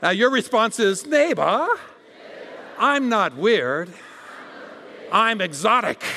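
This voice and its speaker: A man's raised, projected voice in an American accent, high in pitch with very wide pitch swings, very even loudness, a very slow pace and long, frequent pauses, over noticeable background noise. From Arizona. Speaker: guest preacher. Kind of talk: sermon. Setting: church. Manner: animated.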